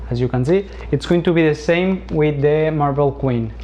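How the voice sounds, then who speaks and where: A man with a Spanish accent at a moderate pace amid noticeable background noise. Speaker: plant hobbyist youtuber. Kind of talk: tutorial. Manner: halting.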